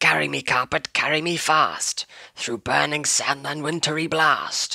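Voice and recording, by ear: A man's put-on character voice, fairly high-pitched and bright and sharp, with a slightly husky edge and vocal fry, at a fairly slow pace with fairly even intonation, in a dry, close sound with no echo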